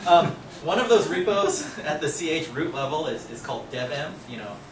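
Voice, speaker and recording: High-pitched, lively male speech with big swings in loudness, audible room echo and noticeable background noise. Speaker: software engineer presenting at a meetup. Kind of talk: tech talk. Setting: meetup talk with live audience. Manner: fast; casual, many fillers.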